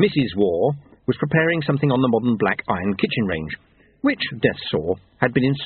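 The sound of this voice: An unforced reading voice with lively intonation carries the words along.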